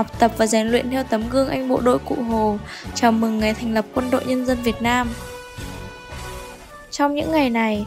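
Music plays in the background as a woman with a high voice and a Northern Vietnamese accent speaks at a moderate pace with ordinary pitch variation. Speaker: radio announcer. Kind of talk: school radio broadcast.

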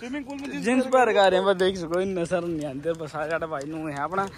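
With a Haryana accent, a man speaks at a moderate pace in a dry, echo-free sound, with noticeable background noise. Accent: Haryanvi. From Haryana, India. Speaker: international computer science student and vlogger. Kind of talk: casual vlog talk to camera. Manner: excited, upbeat. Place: street. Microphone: phone near.

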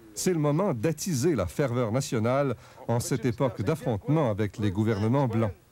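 Speaking at a moderate pace, a man with a medium-pitched voice and a dark, mellow tone uses lively intonation while keeping his loudness very even. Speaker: documentary narrator. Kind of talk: TV documentary narration.

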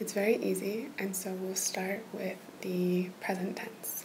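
A woman's soft-spoken whisper at a fairly slow pace over light background noise. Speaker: language tutor. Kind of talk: tutorial. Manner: soft ASMR near-whisper. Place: home room. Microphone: webcam.

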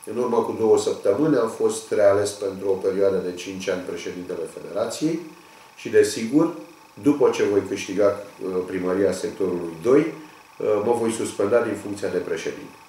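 A man talks at a moderate pace. The room's echo is audible. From Romania. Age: 50s. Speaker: union leader and local election candidate; election candidate. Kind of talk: campaign video statement. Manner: formal. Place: office.

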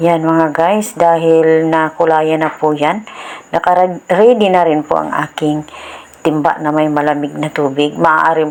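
Her pitch is very deep and low. The woman speaks in a monotone, flat intonation. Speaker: home DIY tutorial creator. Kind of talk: tutorial. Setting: home, filmed by a cameraman. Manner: informal, polite and friendly.

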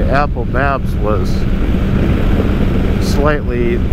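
Loud background noise fills the recording. The sound itself is dry with no echo. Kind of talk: casual vlog chat. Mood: relaxed, upbeat. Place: motorbike. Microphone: helmet.

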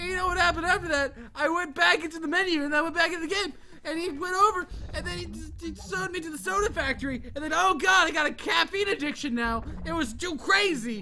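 The voice has an animated tone and a very fast pace. Noticeable background noise runs underneath. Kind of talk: mock-furious gaming rant, shouting over a frustrating game.

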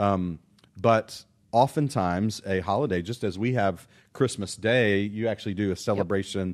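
A man with an American accent talks at a fairly quick pace with a fairly low pitch and ordinary pitch variation. He leaves long, frequent pauses. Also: quiet background. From Irving, Texas area; Texas. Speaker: pastor. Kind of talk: casual chat. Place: studio. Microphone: studio mic.

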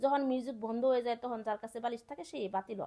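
Her voice is high-pitched for a woman, with a dark, mellow tone. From Bangladesh, Sherpur district. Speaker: vlogger, government employee. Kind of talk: casual vlog narration. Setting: outdoors at school sports field.

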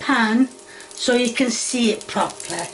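There is light background noise behind this voice. A woman speaks at a moderate pace. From Yorkshire, northern England. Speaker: home cooking video host. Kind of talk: cooking tutorial. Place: kitchen. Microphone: phone near.

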